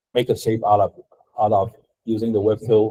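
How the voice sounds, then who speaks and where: A somewhat breathy man's voice at a medium pitch, dark and mellow, with a dry, close sound and no echo. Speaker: design instructor. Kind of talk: lecture. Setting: classroom. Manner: slow; halting.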